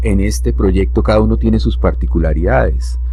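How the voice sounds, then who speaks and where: A man speaks with a very deep, low pitch. There is audible room echo along with noticeable background noise. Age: 60s. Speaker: poet and publisher. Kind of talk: radio interview. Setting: school radio studio.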